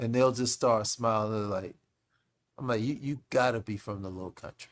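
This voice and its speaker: An animated tone comes from a man with an American accent. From Charleston, South Carolina (US South). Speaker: former football player, podcast guest. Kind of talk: casual chat.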